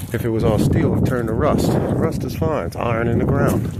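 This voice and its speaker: In a room with audible echo and noticeable background noise, a man talks at medium pitch and a moderate pace with fairly even intonation. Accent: American. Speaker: DIY auto channel host. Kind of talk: casual vlog walkthrough. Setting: outdoors at a junkyard.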